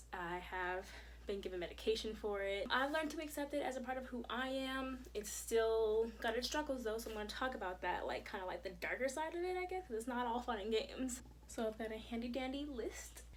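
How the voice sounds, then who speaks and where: Audible room echo surrounds a woman with a fairly high voice. She talks at a fairly quick pace with lively intonation. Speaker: vlogger. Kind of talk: personal vlog. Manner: fast; animated.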